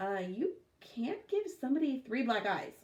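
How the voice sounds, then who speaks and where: In a put-on character voice, a female-sounding speaker talks at a moderate pace with a high pitch and very wide pitch swings. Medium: read story.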